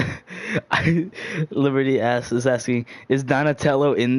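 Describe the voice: Someone does plain reading aloud, and the intonation holds fairly level.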